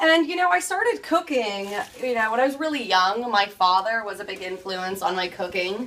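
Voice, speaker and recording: A woman speaks at a fairly slow pace with an American accent. Her pitch varies in an ordinary way. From California. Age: 20s. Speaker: home cook. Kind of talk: cooking tutorial. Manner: upbeat, energetic.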